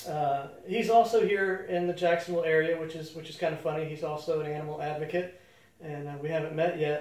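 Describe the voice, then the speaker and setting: With fairly even intonation, a man speaks at a fairly high pitch, with audible room echo and noticeable background noise around him. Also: fairly quick pace. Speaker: animal rescue show host. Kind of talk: casual monologue to camera. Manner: halting, many fillers.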